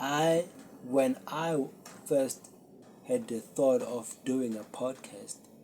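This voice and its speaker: Here a man talks at a medium pitch with fairly even intonation. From South Africa. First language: Zulu. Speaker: podcast host. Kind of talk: casual solo talk to camera. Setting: talking to a camera. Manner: unscripted, hesitant.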